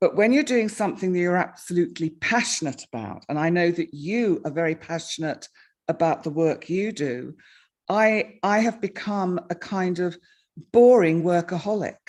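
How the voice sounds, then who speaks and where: A plain, everyday voice with lively intonation. The pace is moderate over a quiet background. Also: woman, fairly low pitch for a woman. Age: 60s. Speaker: astrologer and YouTuber. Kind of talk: casual interview.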